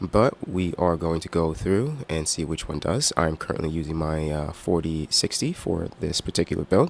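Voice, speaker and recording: Hardly pausing, a man speaks at a moderate pace in a very deep, low voice. His pitch varies in an ordinary way, and there is noticeable background noise. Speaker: gaming streamer. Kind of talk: live gameplay stream commentary. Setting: live stream. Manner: hesitant, many fillers.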